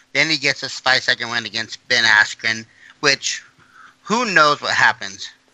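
A man speaks with an unremarkable speaking voice at a medium pitch. His intonation is lively and his pace moderate. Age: 30s. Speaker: MMA podcast co-host; military veteran. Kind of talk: casual sports chat.

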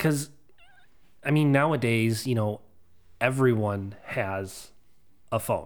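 Long, frequent pauses break up this man's very slow speech, delivered at a medium pitch. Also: ordinary pitch variation. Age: 30s. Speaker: podcast co-host. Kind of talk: casual chat.

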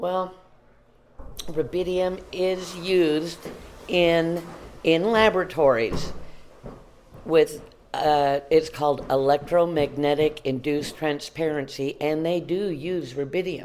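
A woman's very deep, low voice with ordinary pitch variation, a very slow pace and long, frequent pauses. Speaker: author and Bigfoot witness. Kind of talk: casual interview. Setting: interview at a conference venue.

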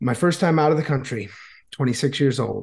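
A man with an American accent and vocal fry, fairly quick pace, ordinary pitch variation, quiet background. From Florida, US. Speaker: YouTuber and Vietnamese language teacher. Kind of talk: casual interview chat.

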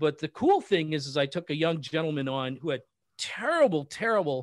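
A fairly high-pitched man with an unremarkable speaking voice and ordinary pitch variation, on a very clean recording with a silent background. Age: 50s. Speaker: business strategist and coach. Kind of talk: interview.

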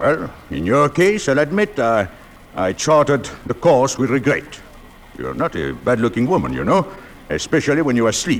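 In a gruff, put-on character voice at medium pitch, a man talks at a moderate pace over clear background noise. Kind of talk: 1940s radio acting. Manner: gruff, blustering, swearing.

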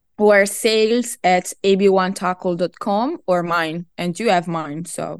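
Over a quiet background, a woman with an Italian accent speaks at a fairly slow pace and a medium pitch, with ordinary pitch variation and hardly any pauses, in a dry, close sound with no echo. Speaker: product manager, fishing gear company. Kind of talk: interview. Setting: remote call.

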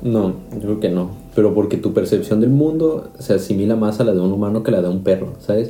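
A man talks with a Mexican accent in a fairly low pitch. Audible room echo and noticeable background noise surround his voice. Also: ordinary pitch variation, fairly quick pace. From Mexico. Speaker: podcast host, chemical engineering student. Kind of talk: casual chat.

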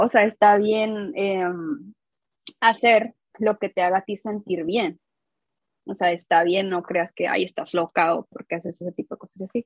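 Pausing long and often, a woman speaks at a moderate pace and medium pitch in a dry, close sound with no echo. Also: ordinary pitch variation. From northern Mexico, Coahuila. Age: 20s. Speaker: designer and teacher, fan artist. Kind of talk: casual interview chat.

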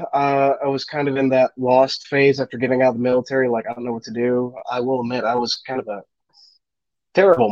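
A man talks in a normal speaking voice with an American accent. His pitch is medium and his intonation fairly even. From Wisconsin (Racine area). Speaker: Marine veteran and small business owner. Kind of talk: casual chat. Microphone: bad connection, freezing.

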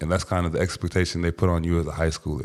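In an American accent, a man speaks in a flat monotone with a very deep, low pitch, recorded very cleanly against a silent background. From Washington, D.C. area. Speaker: professional football player and entrepreneur. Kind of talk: casual interview chat.

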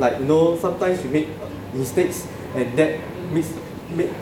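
Noticeable background noise surrounds a man speaking with a fairly high pitch. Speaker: club sergeant-at-arms and student. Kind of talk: club meeting talk.

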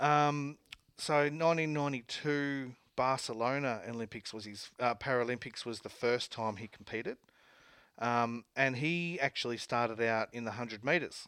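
A man with an Australian accent, medium pitch, a fairly slow pace and ordinary pitch variation, on a very clean recording over a silent background. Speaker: sports radio host. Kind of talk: casual chat. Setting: studio. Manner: animated.

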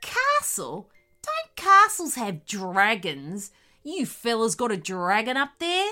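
Putting on a growling character voice, a woman speaks at a fairly high pitch and a fairly slow pace. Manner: mocking, sly, amused.

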